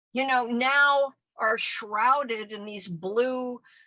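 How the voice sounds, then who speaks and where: A woman's high-pitched voice with a bright, sharp tone. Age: 70s. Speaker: activist and former actress. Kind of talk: interview.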